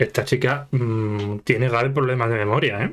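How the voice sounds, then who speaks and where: A man with a Spanish accent speaks at a fairly slow pace with ordinary pitch variation. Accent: Peninsular Spanish. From Spain. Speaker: YouTube anime reactor. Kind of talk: casual reaction commentary. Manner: animated, laughing often. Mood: jokey, animated. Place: home room.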